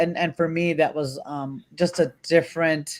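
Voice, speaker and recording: A woman's fairly low voice at a fairly slow pace, with fairly even intonation. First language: Spanish. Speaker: dog trainer hosting a panel discussion. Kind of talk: casual panel discussion. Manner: halting, many fillers and restarts.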